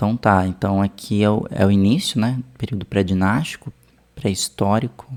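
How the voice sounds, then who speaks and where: A man speaks with a Brazilian accent at a fairly low pitch with ordinary variation. The sound is dry and close, with no echo. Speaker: art history teacher reacting to video. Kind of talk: casual video commentary. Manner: slow.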